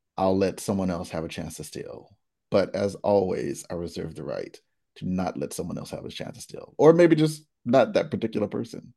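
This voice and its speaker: Against a quiet background, a man speaks at a moderate pace in a playful, animated tone. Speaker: game show host. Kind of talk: game show hosting with improv banter. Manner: playful, animated, joking.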